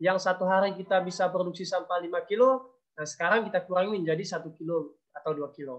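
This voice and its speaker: A high-pitched man at a fairly quick pace, with ordinary pitch variation and a quiet background. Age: 20s. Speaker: conservation activist; presenter. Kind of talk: webinar presentation. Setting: video call. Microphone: video call.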